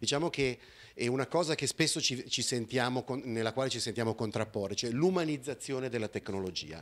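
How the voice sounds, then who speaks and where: At a fairly quick pace, a man speaks with ordinary pitch variation. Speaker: conference speaker. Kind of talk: conference talk with slides. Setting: conference hall with audience. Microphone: handheld.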